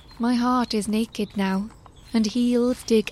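A woman speaks in a somewhat breathy voice with monotone, flat intonation. The recording is very clean, the background silent. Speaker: narrator reading aloud. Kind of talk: poetry reading, spoken word. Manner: measured, lyrical, expressive.

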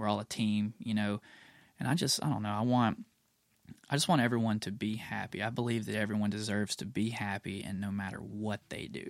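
A man with an unremarkable speaking voice talks at a fairly quick pace, fairly low in pitch and with fairly even intonation. The recording is very clean, with a silent background. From US South, Mississippi (near Tupelo). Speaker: rock band vocalist. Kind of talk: casual chat. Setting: studio.

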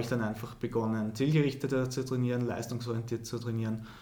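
A man speaks at a medium pitch in a monotone, flat intonation. Audible room echo surrounds his voice. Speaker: professional middle-distance runner. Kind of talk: interview.

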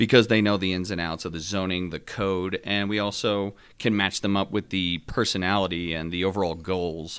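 A man with an American accent and a very deep, low pitch, at a moderate pace with hardly any pauses, fairly even intonation, on a very clean recording with a silent background. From Northeast New Jersey. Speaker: home builder. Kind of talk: podcast interview.

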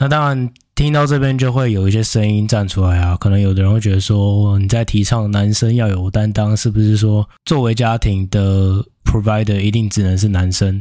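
A man speaks at a moderate pace with a dark, mellow tone. His pitch is fairly low, and his intonation fairly even. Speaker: podcast host. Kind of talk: casual solo monologue. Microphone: new upgraded recording equipment.

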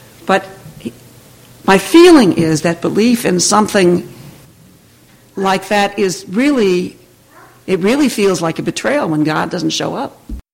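The speaker goes at a fairly slow pace with long, frequent pauses. Noticeable background noise runs underneath. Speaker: minister. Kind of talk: sermon. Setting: church.

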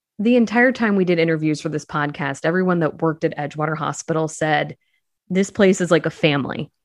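Against a quiet background, a woman with an unremarkable speaking voice talks at a fairly quick pace with lively intonation. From central Illinois. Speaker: podcast creator. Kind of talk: interview.

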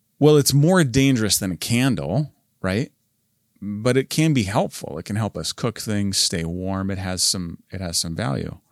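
With lively intonation, an ordinary speaking voice proceeds at a moderate pace. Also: man, fairly low pitch for a man. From northern Canada. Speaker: church pastor. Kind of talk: pep talk; sermon-style motivational talk. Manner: warm, earnest, conversational.

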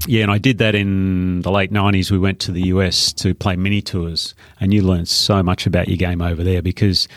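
At a fairly quick pace, a man with an Australian accent speaks at a fairly low pitch with fairly even intonation, on a very clean recording with a silent background. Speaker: former pro golfer and golf coach. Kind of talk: casual interview.

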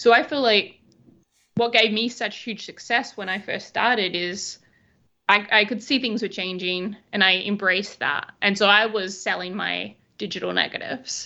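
Bright and sharp in tone, this voice carries an Australian accent and fairly even intonation over a quiet background. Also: woman, medium pitch for a woman, moderate pace. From Western Australia (Albany). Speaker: wedding photographer. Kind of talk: casual chat.

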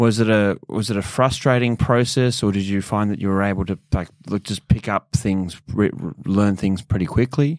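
Speaking with an Australian accent at a moderate pace, a man leaves hardly any pauses, in a dry, close sound with no echo. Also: fairly low pitch for a man, ordinary pitch variation. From Sydney, Australia. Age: 30s. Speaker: podcast host. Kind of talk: interview.

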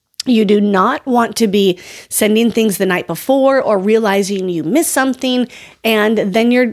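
An ordinary speaking voice moves at a fairly slow pace with lively intonation. It carries an American accent. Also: woman. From US, North Dakota. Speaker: podcast host, dance educator. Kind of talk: casual advice podcast.

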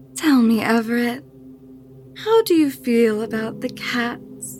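Music plays behind the voice. A woman talks at a very slow pace. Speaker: voice actor playing the tattooed woman. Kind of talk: horror audio drama dialogue. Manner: seductive, coaxing, mocking.

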